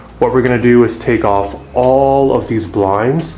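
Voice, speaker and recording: Audible room echo and noticeable background noise accompany a man with an American accent and ordinary pitch variation. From US Midwest, Kansas City. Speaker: home renovator and house flipper. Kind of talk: house tour walkthrough. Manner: casual, filler-heavy.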